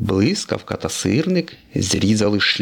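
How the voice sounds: Text read in a natural reading voice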